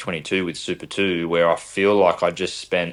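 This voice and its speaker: A man speaks at a moderate pace with an Australian accent, his voice very deep and low and his intonation flat and monotone. The recording is very clean, with a silent background. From Australia, south-western Sydney (Camden area). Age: 20s. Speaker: racing driver. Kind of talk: podcast interview. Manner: halting, many repetitions and fillers.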